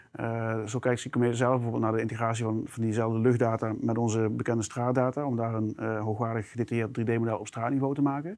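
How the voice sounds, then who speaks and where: This man talks at a very fast pace in a medium pitch, his intonation monotone and flat. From South Limburg, Netherlands. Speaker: product manager. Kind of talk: interview conversation. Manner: hesitant with fillers.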